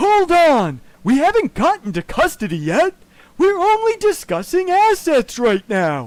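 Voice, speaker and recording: A high-pitched, put-on character voice moves along at a moderate pace. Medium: comedy sketch. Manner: measured, soothing.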